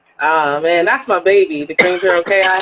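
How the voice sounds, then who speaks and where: This is a woman speaking with a northern US accent. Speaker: women's basketball team owner. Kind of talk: interview conversation. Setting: Instagram live video call.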